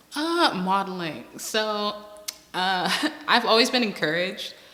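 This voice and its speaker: A woman's medium-pitched voice with lively intonation, audible room echo and noticeable background noise. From Bahamas, Berry Islands. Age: 20s. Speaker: interviewee, student and model. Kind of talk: personal interview.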